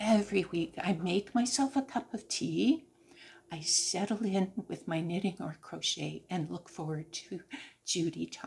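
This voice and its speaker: A woman's medium-pitched voice with vocal fry, lively intonation and a fairly slow pace. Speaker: crochet and knitting vlogger. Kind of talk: casual chat.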